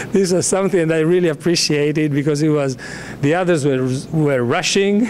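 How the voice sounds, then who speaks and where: With audible room echo and noticeable background noise, a man talks at a fairly quick pace in a fairly high pitch, keeping very even loudness and ordinary pitch variation. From Sudan. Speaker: sled dog musher. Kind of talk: press conference talk. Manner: halting.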